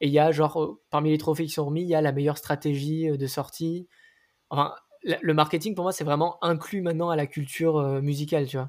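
This man talks at a fairly quick pace with a fairly high pitch. His intonation is flat and monotone. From Nice, southern France. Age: 20s. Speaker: singer. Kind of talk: casual chat.

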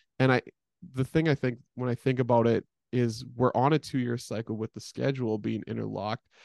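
In a plain, everyday voice with a Canadian accent, a man speaks at a medium pitch and a fairly quick pace. His intonation is fairly even, and the sound is dry and close with no echo. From Edmonton, Alberta, Canada. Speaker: women's college basketball head coach. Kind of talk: casual interview.

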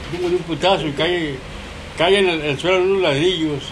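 A high-pitched man at a moderate pace, with audible room echo and noticeable background noise. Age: 70s. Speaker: grandfather telling stories. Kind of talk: casual storytelling.

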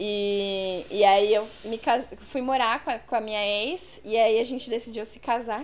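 A woman uses a normal speaking voice at a fairly high pitch and a fairly slow pace, with ordinary pitch variation and hardly any pauses. Her loudness swings widely. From São Paulo ABC region, Brazil. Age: 20s. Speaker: body piercer. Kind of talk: casual interview.

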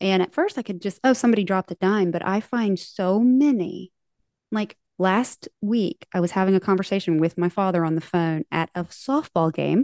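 With an American accent, a woman speaks in an unremarkable speaking voice at a moderate pace, medium pitch and ordinary pitch variation. The sound is dry and close with no echo, against a quiet background. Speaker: podcast host. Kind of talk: casual interview chat.

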